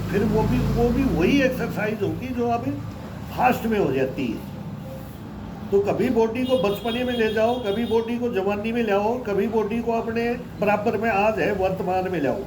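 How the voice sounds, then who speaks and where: Recorded with audible room echo and noticeable background noise, a man speaks at a high pitch with ordinary pitch variation. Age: 60s. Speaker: yoga practitioner. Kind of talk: casual chat.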